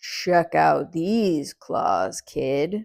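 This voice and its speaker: A put-on character voice comes through raspy at a middle pitch. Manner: menacing, boastful.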